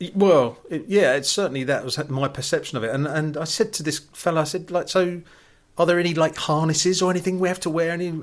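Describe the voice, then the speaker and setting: The recording is very clean, with a silent background. A man speaks at a high pitch and a very fast pace. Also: ordinary pitch variation. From London, England. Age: 50s. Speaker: TV commentator. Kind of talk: casual chat.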